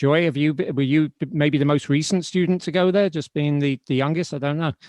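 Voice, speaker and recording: A fairly quick man with a fairly high pitch and fairly even intonation, dry, close sound with no echo, quiet background. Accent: British. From Britain. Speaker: podcast host, writer. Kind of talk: interview. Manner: halting, many restarts.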